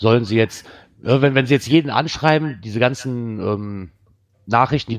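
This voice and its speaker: A man's medium-pitched voice at a moderate pace with ordinary pitch variation, dry and close with no echo, against a quiet background. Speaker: podcast co-host. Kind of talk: casual chat. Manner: calm, soothing.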